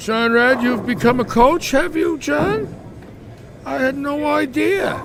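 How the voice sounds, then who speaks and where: Amid noticeable background noise, a man with a Bronx accent speaks at a fairly slow pace in an extremely high voice with very wide pitch swings. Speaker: bowling live commentator. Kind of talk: live commentary. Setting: bowling alley live stream. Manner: casual, chatty.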